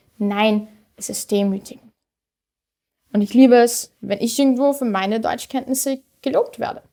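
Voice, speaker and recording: Here a woman speaks with a high pitch. Her tone is dark and mellow. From Austria, Vienna (Simmering). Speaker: poetry slammer. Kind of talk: poetry slam performance.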